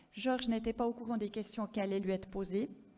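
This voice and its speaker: Dark and mellow in tone, the voice carries a slight Swiss French accent and fairly even intonation. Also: woman. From French-speaking Switzerland. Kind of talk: conference presentation. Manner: hesitant, many fillers.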